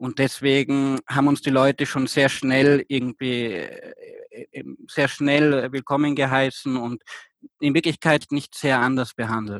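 This man's medium-pitched voice stays monotone and flat, recorded with a dry, close sound and no echo. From Austria. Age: 20s. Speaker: volunteer returned from abroad. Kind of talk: interview. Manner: halting, many fillers.

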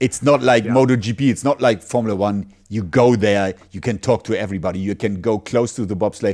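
A man with a German accent speaks at a medium pitch and a moderate pace, with ordinary pitch variation and hardly any pauses. The recording is very clean, with a silent background. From Germany. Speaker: sports commentator and podcast host. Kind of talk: casual chat.

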